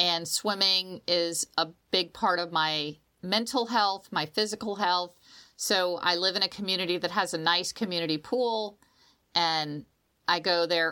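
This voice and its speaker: A woman with a plain, everyday voice, fairly low in pitch, speaks at a moderate pace with ordinary pitch variation and very even loudness on a very clean recording with a silent background. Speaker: podcast co-host, former swim coach. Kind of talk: casual chat. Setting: recording in the morning. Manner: uplifting, positive.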